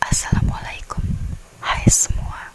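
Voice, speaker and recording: Someone whispers while music plays in the background. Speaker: ASMR creator. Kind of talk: ASMR intro talk to viewers. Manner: whispered.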